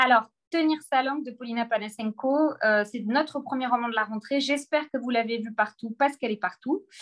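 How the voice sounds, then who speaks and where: The pace is fairly quick. The pitch varies in an ordinary way. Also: woman, high pitch for a woman. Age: 40s. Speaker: publishing director. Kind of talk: book presentation on a video call. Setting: video call from her office.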